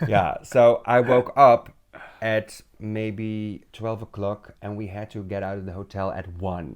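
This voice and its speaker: This man talks at a fairly slow pace with a fairly low pitch and fairly even intonation. His loudness swings widely against a quiet background. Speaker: drag queen, podcast co-host. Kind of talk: casual chat. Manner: halting, repeats words.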